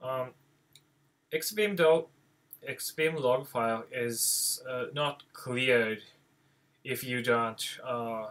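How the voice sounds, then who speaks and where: A man with a non-native accent talks at a very slow pace, leaving long, frequent pauses. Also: medium pitch for a man, ordinary pitch variation. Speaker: software developer. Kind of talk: tutorial. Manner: halting, many fillers.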